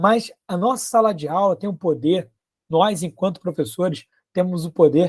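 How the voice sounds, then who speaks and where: A man's high-pitched voice at a fairly slow pace. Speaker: biology teacher and environmental educator. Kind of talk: conference talk.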